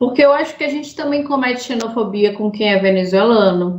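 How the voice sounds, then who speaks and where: A woman speaks at a fairly high pitch with ordinary pitch variation, with noticeable background noise and audible room echo. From Brazil, Sergipe (Aracaju). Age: 20s. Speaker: podcast host. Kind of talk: casual chat.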